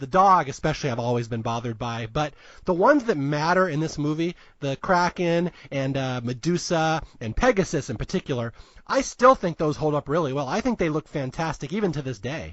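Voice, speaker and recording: With an American accent, a man with a normal speaking voice and fairly high pitch talks at a fairly quick pace with lively intonation. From US Northwest. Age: 40s. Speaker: podcast host. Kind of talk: casual chat.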